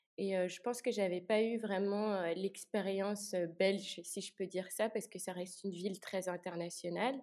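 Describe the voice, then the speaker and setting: Here a woman speaks at a moderate pace with a medium pitch and fairly even intonation. It is an unremarkable speaking voice. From Luxembourg. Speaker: student. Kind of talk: casual interview.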